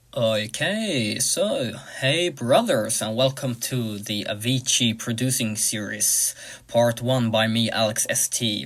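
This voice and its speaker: A man speaks at a very slow pace with a non-native accent, his pitch medium with ordinary variation. Noticeable background noise runs underneath. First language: not English. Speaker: music producer, tutorial creator. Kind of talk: tutorial. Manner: hesitant, many uh fillers.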